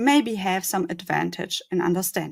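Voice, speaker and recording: A woman speaks with a non-native accent at a moderate pace. Her intonation is lively. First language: not English. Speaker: conference speaker. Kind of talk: conference talk. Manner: halting.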